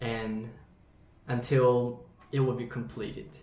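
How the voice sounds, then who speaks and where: With audible room echo and noticeable background noise, a man speaks at a medium pitch with ordinary pitch variation. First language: Japanese. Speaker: English learner. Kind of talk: online lesson conversation. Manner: halting.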